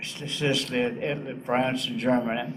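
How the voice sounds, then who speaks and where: A man talks at a fairly slow pace in a medium pitch. Noticeable background noise and audible room echo are present. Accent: Southern US. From US South, northeast Arkansas. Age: 80s+. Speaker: war veteran. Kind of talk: interview.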